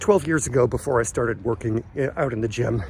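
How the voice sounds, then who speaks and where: The man's voice sits at a medium pitch, with lively intonation. He talks at a fairly quick pace. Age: 60s. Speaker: fitness vlogger. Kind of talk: casual vlog talk.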